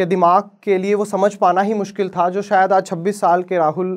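Here a man speaks at a moderate pace with a high pitch. The background is quiet. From Haryana, Bhiwani; Haryana, India. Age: 20s. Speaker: advocate; lawyer. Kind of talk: inspirational talk. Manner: dramatic pauses. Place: stage. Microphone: lapel.

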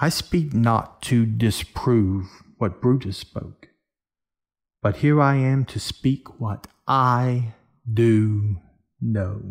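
A put-on character voice moves at a very slow pace. Vocal fry comes through, and the pitch varies in an ordinary way. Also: man, medium pitch for a man.

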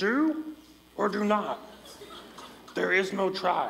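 The speaker puts on a character voice pitched fairly high. The pace is fairly slow. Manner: mock-solemn, imitating.

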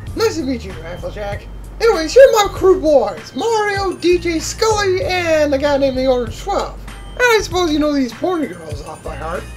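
The voice is loud and moves at a moderate pace over clear background music. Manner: loud, brash, profane.

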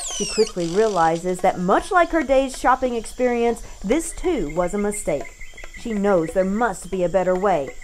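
Over noticeable background noise, a woman speaks in an upbeat tone at a moderate pace. Her pitch swings very widely. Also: medium pitch for a woman. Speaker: voice actor. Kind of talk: radio commercial read. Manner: upbeat, narrative, advertising tone.

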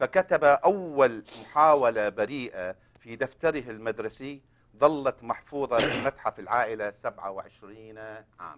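Against a quiet background, a man speaks at a very slow pace, his loudness swinging widely. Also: medium pitch for a man. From Iraq. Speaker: co-host. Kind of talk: scripted introduction and interview. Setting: studio. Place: studio.

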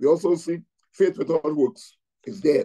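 Over a quiet background, a man with a high pitch and a dark, mellow tone speaks at a fairly slow pace with ordinary pitch variation. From Trinidad and Tobago. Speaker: pastor. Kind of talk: Bible teaching. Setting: video call. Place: home room. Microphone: video call.

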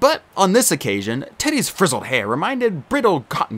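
A man speaks at a fairly quick pace with very wide pitch swings. Vocal fry runs through his voice. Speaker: audiobook narrator. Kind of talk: audiobook reading.

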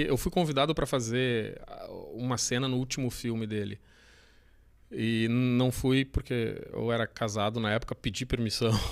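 With a quiet background, a man talks at a middling speed using fairly level intonation. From southern Brazil, Canoas (Rio Grande do Sul); Rio Grande do Sul, Brazil. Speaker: former adult film actor and director, poker player; former adult film actor. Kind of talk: casual interview chat. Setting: studio, live stream. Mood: relaxed, chatty. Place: studio. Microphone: studio mic.

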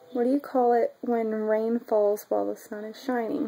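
Fairly even intonation goes along with a moderate pace. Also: woman. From Oklahoma, US. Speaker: vlogger. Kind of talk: casual talk to camera. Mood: shy, giggly. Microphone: webcam.

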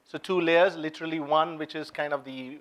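A man talking at a fairly quick pace. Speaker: conference speaker. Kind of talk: lecture. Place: hall. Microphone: lapel.

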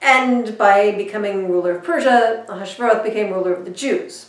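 Audible room echo fills the space. The woman's pace is fairly slow. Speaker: minister. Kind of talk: sermon storytelling. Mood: warm, lightly humorous. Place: home room.

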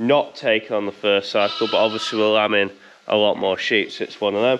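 The pace of this man's speech is fairly quick. Some light noise sits in the background. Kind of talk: casual vlog chat. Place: farm machine. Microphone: phone near.

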